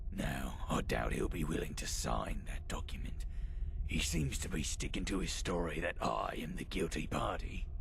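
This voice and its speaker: A man performs a put-on character voice against loud background noise. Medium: game stream. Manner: dry, articulate, slightly weary.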